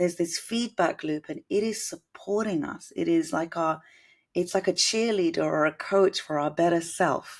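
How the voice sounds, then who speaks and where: With a British accent, a woman speaks in a fairly low pitch and ordinary pitch variation. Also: moderate pace. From Britain, Indian household. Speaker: musician and composer. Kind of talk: interview. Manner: musical, effortless.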